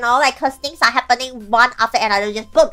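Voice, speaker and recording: Over music in the background, a woman with a non-native accent speaks in a raised, projected voice. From Malaysia. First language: not English. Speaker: vtuber host. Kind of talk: casual interview chat.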